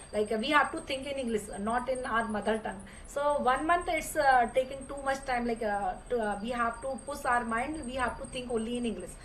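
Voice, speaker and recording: A woman's high-pitched voice with ordinary pitch variation and a moderate pace, amid noticeable background noise and audible room echo. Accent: Indian. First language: Hindi. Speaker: English learner. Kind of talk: casual conversation practice. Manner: halting, many fillers.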